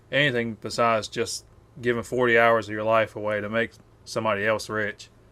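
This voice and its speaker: Flat and monotone, a man's medium-pitched voice has a bright, sharp tone and a Southern US accent. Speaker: YouTuber. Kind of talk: one-take rant to camera. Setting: face cam video. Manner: casual, filler-heavy.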